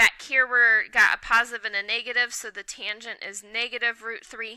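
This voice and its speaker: A woman speaks at a moderate pace with fairly even intonation. Her tone is bright and sharp. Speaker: math teacher. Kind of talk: tutorial. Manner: casual.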